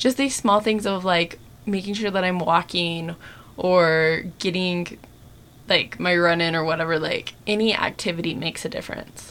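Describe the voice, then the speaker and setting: A woman's ordinary speaking voice, an ordinary speaking voice at a fairly low pitch, with ordinary pitch variation and a moderate pace. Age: 30s. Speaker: podcast co-host. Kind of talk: casual chat.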